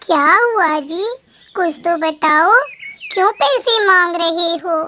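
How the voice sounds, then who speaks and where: A woman uses a put-on character voice pitched extremely high. She goes very slowly, with ordinary pitch variation. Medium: read story.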